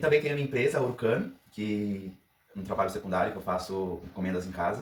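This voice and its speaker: Somewhat breathy and very fast, a man talks with ordinary pitch variation. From Brazil, Paraná. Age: 30s. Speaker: pastry chef. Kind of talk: cooking audition video with tutorial.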